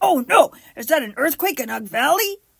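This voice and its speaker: A put-on character voice, high in pitch, at a moderate pace. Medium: read story. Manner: broken caveman speech.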